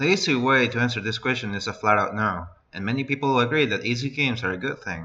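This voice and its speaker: Speaking at a fairly quick pace, a man uses an ordinary speaking voice at a medium pitch. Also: quiet background. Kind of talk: scripted video essay narration.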